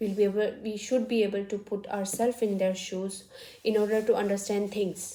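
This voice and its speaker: A woman's dark, mellow voice sits at a medium pitch, delivered with monotone, flat intonation. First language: not English; English is third language. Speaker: vlogger. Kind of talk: casual talk to camera. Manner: halting, many fillers.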